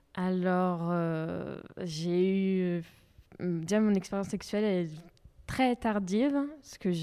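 A woman talks with a dark, mellow tone. Her pitch is fairly low, with ordinary pitch variation. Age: 20s. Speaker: festival attendee. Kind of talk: testimony.

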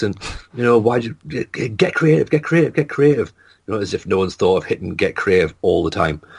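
A man's very fast, somewhat breathy speech with lively intonation over a quiet background. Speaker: comedian. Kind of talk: casual chat. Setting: video call.

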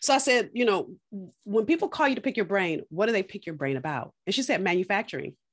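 Very fast American-accented speech with very wide pitch swings, over a quiet background. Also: woman, medium pitch for a woman. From California. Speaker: business coach. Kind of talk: interview. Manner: animated.

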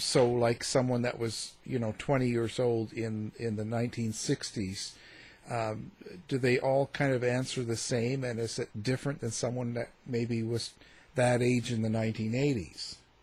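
Somewhat breathy and monotone, with flat intonation, a man speaks at a fairly slow pace in a medium pitch. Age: 50s. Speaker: radio host. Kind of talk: interview. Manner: hesitant, many filler words.

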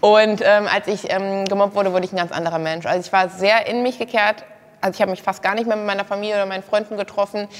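A woman speaks at a very fast pace in a monotone, flat delivery at medium pitch. Noticeable background noise runs underneath. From Germany, Kassel. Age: 20s. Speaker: former reality TV model contestant. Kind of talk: casual interview talk.

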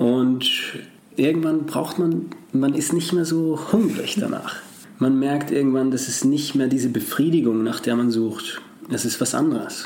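Fairly high male voice with ordinary pitch variation, very even loudness, and a fairly slow pace, with noticeable background noise and audible room echo. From Austria, Salzburg. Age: 20s. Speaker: actor and former dancer. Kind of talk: interview conversation.

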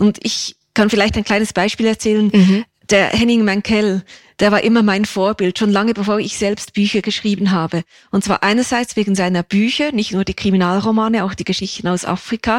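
A woman of medium pitch talks at a fairly quick pace in a monotone, flat intonation, with a dry, close sound and no echo. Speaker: crime novelist and former court reporter. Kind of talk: interview conversation.

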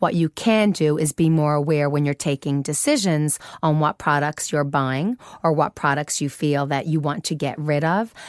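With a Newfoundland accent, a woman with a very deep, low voice speaks at a moderate pace with ordinary pitch variation and very even loudness, in a dry, close sound with no echo. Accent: Canadian (Newfoundland) English. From Canada, Newfoundland. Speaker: fashion executive. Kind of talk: interview.

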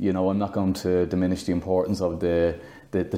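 In an Irish accent, a man with a very deep, low pitch speaks at a fairly quick pace. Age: 40s. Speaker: running club captain. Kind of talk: interview.

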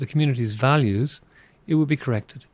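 In an American accent, a man talks at a fairly quick pace with medium pitch, ordinary pitch variation and a somewhat breathy voice, the sound dry and close with no echo. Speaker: migration expert. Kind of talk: interview.

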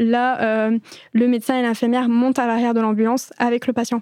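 Fairly quick and monotone, a woman speaks with flat intonation at a high pitch in a dark, mellow tone. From France. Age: 20s. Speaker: emergency nurse. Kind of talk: casual interview.

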